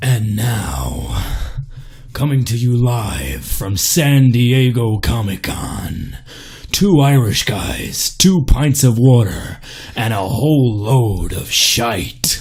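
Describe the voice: In a put-on character voice with a dramatic tone, a man at a medium pitch speaks at a very slow pace over light background noise.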